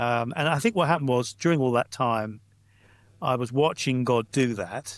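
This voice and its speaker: A plain, everyday voice talks at a moderate pace with ordinary pitch variation on a very clean recording with a silent background. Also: man. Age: 60s. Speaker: pastor and church planter. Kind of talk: casual interview chat.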